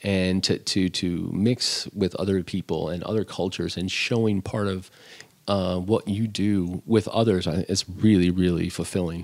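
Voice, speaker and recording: A man with a very deep, low pitch, a Midwestern American accent and monotone, flat intonation. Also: moderate pace. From US Midwest. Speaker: chef. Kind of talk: casual chat. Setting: at home.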